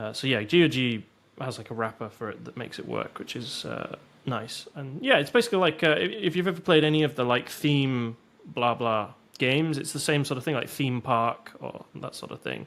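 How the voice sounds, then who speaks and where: Speaking at a fairly quick pace, a man with a medium pitch and ordinary pitch variation swings widely in loudness. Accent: British. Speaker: podcast co-host. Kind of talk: casual chat.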